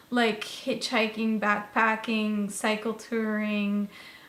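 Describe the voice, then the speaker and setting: Audible room echo carries a woman's voice at a fairly high pitch. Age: 30s. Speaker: vlogger. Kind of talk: casual monologue. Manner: rambling with many fillers.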